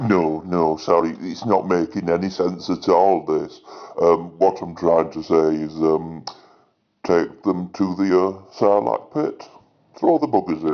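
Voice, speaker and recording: This man puts on a character voice, very deep and low in pitch, moving at a fairly slow pace. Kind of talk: comedy character sketches.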